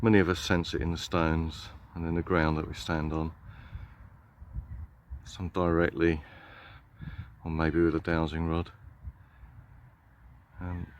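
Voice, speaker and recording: A man's very deep, low voice, monotone and flat, at a moderate pace with long, frequent pauses. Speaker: earth energy walker. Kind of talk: casual talk to camera while walking. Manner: reflective, hesitant.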